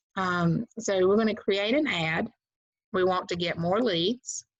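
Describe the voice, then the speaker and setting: Against a quiet background, a woman talks in a Southern US accent with ordinary pitch variation. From US South. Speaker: real estate agent and trainer; trainer. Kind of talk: tutorial. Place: home room. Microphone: webcam.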